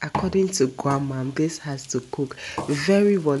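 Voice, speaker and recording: Against noticeable background noise, a woman with a very deep, low pitch speaks at a fairly slow pace with ordinary pitch variation. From Ghana (Dangme, Ada/Krobo). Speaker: food vlogger. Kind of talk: cooking tutorial. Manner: casual, chatty.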